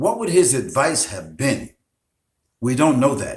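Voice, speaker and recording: A man with an American accent speaks at a very slow pace, his fairly high pitch carrying vocal fry. His intonation is lively. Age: 70s. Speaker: Islamic preacher. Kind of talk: interview. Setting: Facebook live broadcast. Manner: hesitant with many fillers.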